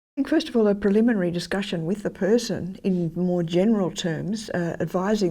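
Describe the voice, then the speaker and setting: On a very clean recording with a silent background, a woman with an Australian accent talks at a fairly quick pace in a dark, mellow tone, her pitch fairly low with ordinary variation. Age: 80s. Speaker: former church minister. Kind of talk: interview answer.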